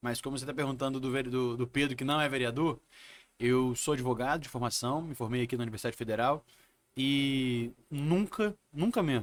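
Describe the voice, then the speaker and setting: Here is a man with a plain, everyday voice at medium pitch, using ordinary pitch variation. He talks at a moderate pace in a very clean recording with a silent background. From Brazil, Espírito Santo (Vitória). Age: 30s. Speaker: city councillor and lawyer. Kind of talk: interview.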